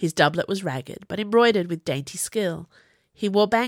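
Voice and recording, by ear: The background is quiet. Someone is reading aloud in a natural voice, the pitch varying in an ordinary way.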